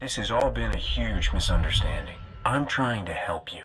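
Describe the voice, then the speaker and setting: A man uses a put-on character voice and speaks at a moderate pace. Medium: video game.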